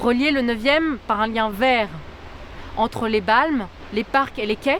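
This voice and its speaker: Noticeable background noise behind a woman's fairly high voice, fairly slow pacing and ordinary pitch movement. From France, Lyon. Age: 20s. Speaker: political candidate. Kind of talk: campaign statement.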